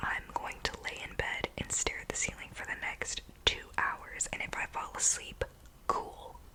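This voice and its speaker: A woman whispers at a fairly slow pace, with big swings in loudness. Noticeable background noise is present. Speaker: ASMR creator. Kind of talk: ASMR whispered self-care talk.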